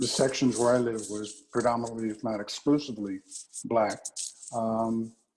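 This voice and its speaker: In a monotone, flat delivery, a man speaks at a medium pitch with an American accent. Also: moderate pace. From Philadelphia area, Pennsylvania (Delaware County). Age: 70s. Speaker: retired alumnus, interviewee. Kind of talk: oral history interview. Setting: video call.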